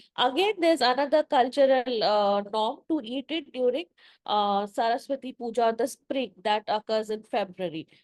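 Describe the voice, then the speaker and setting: In a Bengali accent, a woman speaks at a high pitch and moderate pace with lively intonation, recorded dry and close with no echo against a quiet background. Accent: Indian English (Bengali). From eastern India (Bengal). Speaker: event host / moderator. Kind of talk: panel interview dialogue. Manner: halting, many fillers.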